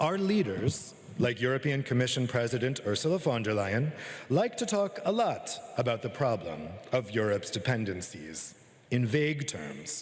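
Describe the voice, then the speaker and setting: A man with an American accent talks at a moderate pace and a medium pitch. His pitch swings very widely. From United States. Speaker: journalist and author giving a talk. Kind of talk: conference keynote speech. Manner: formal.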